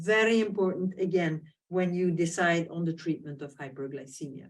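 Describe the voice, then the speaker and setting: A woman with a non-native accent speaks at a moderate pace, her fairly low voice showing ordinary pitch variation. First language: not English. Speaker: diabetes professor and society president. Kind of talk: webinar presentation. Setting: online webinar. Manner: hesitant, many fillers.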